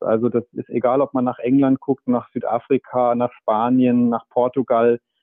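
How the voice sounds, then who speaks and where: The man's intonation stays monotone and flat. His voice sits at a medium pitch. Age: 40s. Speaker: medical doctor and author. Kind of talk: interview. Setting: remote connection.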